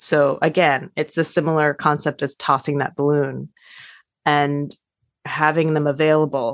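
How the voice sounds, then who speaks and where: Against a quiet background, a woman speaks with a General American accent at a very deep, low pitch. Her intonation is monotone and flat, and her pace is fairly slow. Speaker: adoption counselor and social worker. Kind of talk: interview, conversational.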